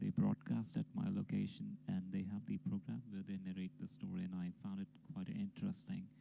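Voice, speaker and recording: The man's pace is fairly quick. He talks with a non-native accent. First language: not English. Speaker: amateur story narrator. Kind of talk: casual intro; reading aloud.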